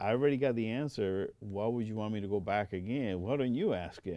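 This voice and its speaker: A man with a Puerto Rican accent talks at a fairly quick pace. His pitch is fairly low, with ordinary variation. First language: Spanish. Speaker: air force veteran. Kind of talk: oral history interview.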